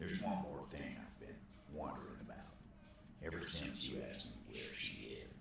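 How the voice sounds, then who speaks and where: Using a gruff, put-on character voice, a man talks at a fairly quick pace with long, frequent pauses, amid strong echo and loud background noise. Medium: video game. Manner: gruff, profane.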